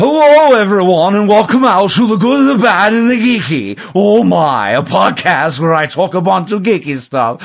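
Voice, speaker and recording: Putting on a character voice, a man speaks at a high pitch and moderate pace, shaky and with lively intonation. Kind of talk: podcast intro. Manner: shaky, put on.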